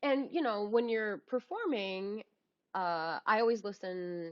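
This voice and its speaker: A woman's fairly high, lively voice with an American accent at a very slow pace. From United States. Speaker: audiobook narrator; former second grade teacher. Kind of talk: interview answer. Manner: enthusiastic, cheerful.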